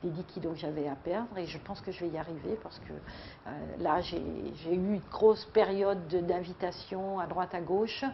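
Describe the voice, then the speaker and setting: The voice belongs to a woman with fairly even intonation. Her pace is moderate. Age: 60s. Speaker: weight-loss program member. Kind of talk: testimony. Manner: halting.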